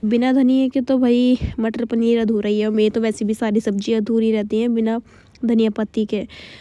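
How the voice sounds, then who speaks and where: A woman's fairly high voice with a dark, mellow tone, monotone, flat intonation, very even loudness and a moderate pace, in a dry, close sound with no echo. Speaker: vlogger. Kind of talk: cooking vlog voiceover. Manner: casual.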